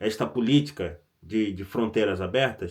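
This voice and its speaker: A man speaks at a fairly slow pace. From Brazil. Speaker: vlogger. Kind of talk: casual vlog commentary. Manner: conversational, with self-corrections and stammers.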